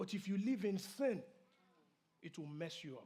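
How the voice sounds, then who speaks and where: A man with a high pitch and a dark, mellow tone speaks at a moderate pace with lively intonation, and the room echo is audible. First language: not English (English is his third language). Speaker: pastor. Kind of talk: sermon.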